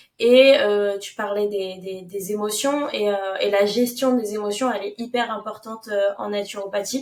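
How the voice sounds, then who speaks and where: At a fairly slow pace, a woman of medium pitch speaks with fairly even intonation and big swings in loudness. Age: 20s. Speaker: naturopath. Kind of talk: podcast interview. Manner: hesitant, many fillers.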